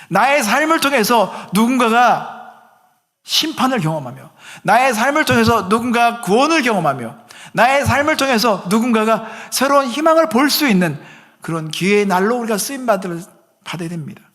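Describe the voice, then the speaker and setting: Set against audible room echo, a man with an extremely high pitch speaks at a moderate pace with lively intonation. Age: 50s. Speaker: pastor. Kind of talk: sermon.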